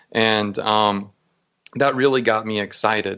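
In an American accent, a man speaks in an ordinary speaking voice at a fairly low pitch with fairly even intonation. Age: 30s. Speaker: e-commerce marketing expert. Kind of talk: interview. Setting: call.

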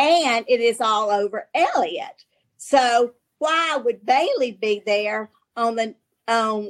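With a Southern US accent, a woman speaks very slowly at a fairly high pitch. Her intonation is lively. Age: 60s. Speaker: novelist. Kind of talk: casual interview.

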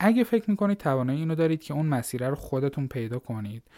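A man speaks in an ordinary speaking voice, fairly high-pitched, with lively intonation. The sound is dry and close with no echo, on a very clean recording over a silent background. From Iran, Fars province (Larestan). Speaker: Python programmer and startup founder. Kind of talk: podcast interview.

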